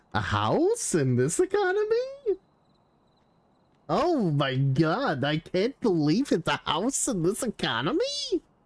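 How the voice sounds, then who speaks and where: Putting on a character voice, a man talks at a fairly slow pace and a high pitch, the sound dry and close with no echo. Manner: exasperated, kvetching.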